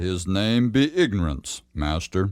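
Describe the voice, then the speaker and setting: In a put-on character voice, a man speaks at a very deep, low pitch and a fairly slow pace. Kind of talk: archaic biblical speech. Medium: audio drama. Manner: formal, stern.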